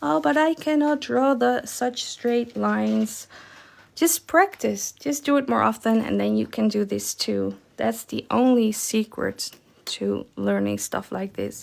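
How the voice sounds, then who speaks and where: A woman with a Dutch accent at a fairly slow pace, in a very clean recording with a silent background. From Netherlands. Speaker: watercolor art teacher. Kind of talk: live-stream painting tutorial. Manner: casual, chatty.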